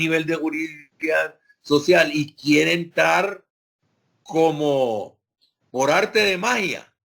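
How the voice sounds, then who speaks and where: A man speaks with a fairly high pitch. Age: 60s. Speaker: sociology professor. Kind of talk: lecture. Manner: hesitant, many fillers.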